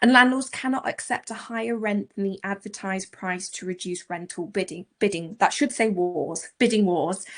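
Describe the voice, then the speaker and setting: At a moderate pace and with hardly any pauses, a woman talks in a plain, everyday voice at a medium pitch. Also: ordinary pitch variation. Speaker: letting agent. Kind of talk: presentation.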